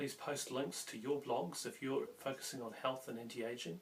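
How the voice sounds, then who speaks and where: At a moderate pace, a man with a New Zealand accent speaks at a medium pitch with ordinary pitch variation. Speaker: health vlogger. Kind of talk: casual vlog talk to camera. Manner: halting, with fillers.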